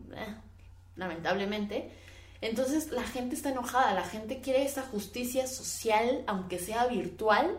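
Amid noticeable background noise and audible room echo, a woman with a high pitch and lively intonation talks at a fairly slow pace. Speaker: podcast host. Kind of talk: casual opinion monologue. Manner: halting, stumbling over words.

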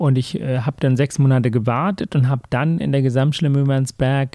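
A man's dark, mellow tone sits at a medium pitch, moving at a moderate pace with fairly even intonation in a dry, close sound with no echo. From Sri Lanka, raised in Hamburg from age 13. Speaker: heart surgeon and author. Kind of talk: interview, personal life story.

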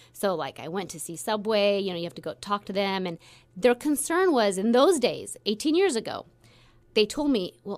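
In a very clean recording with a silent background, a woman at medium pitch swings very widely in pitch and loudness. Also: moderate pace. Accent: American. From Central Valley, California. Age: 40s. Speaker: business executive. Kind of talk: radio interview. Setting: studio.

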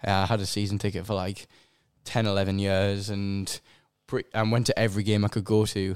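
With a strong Sunderland accent, a man talks at a fairly quick pace in a fairly low pitch, his intonation monotone and flat. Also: very clean recording, silent background. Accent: strong regional (Sunderland). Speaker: musician. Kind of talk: casual chat. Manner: halting.

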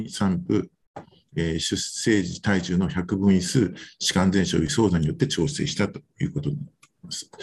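The delivery moves along at a moderate speed. Its intonation rises and falls in a lively way. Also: man. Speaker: physician. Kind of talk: lecture. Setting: video call. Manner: halting.

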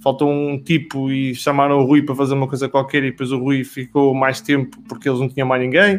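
With an unremarkable speaking voice, a man talks at a fairly quick pace with hardly any pauses. His pitch is fairly high and his intonation fairly even. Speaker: business professional. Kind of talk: casual chat.

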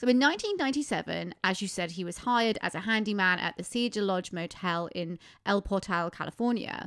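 A British accent, hardly any pauses, and a very clean recording over a silent background. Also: woman, medium pitch for a woman, ordinary pitch variation, fairly quick pace. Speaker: podcast host. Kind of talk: casual chat. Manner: chatty, giggly, interrupting.

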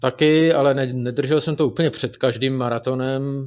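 At a fairly slow pace, a man speaks with a medium pitch and fairly even intonation. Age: 30s. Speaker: marathon runner and programmer. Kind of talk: interview. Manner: halting, many fillers.

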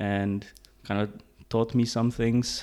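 A man's medium-pitched voice, monotone and flat, at a moderate pace. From Hungary, Budapest, then Denmark from age 12-13. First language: Hungarian. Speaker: tech startup co-founder and CTO. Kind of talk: interview conversation. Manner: hesitant, many fillers.

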